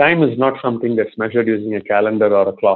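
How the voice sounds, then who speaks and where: Here a man speaks with an Indian accent. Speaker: corporate research executive. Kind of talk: interview.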